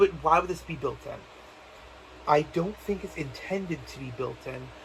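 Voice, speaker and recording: Over noticeable background noise, the speaker sounds animated, with big swings in loudness. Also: man, moderate pace. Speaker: gaming youtuber. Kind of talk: video game theory monologue. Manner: halting, many restarts; casual, animated.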